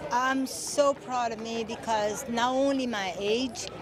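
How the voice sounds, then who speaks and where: Crowd noise and audible room echo surround a woman's voice. She speaks very slowly, at a fairly high pitch. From Brazil. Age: 60s. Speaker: senior track athlete. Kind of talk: interview.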